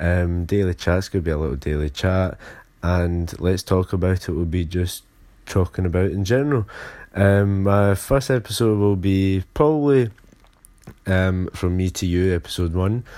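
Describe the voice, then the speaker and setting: A man with a Glaswegian accent speaks at a moderate pace in a very deep, low pitch and a dark, mellow tone on a very clean recording with a silent background. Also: ordinary pitch variation. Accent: Glaswegian Scottish. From Scotland, Glasgow. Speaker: podcast host. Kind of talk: casual solo podcast intro. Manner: halting, many fillers.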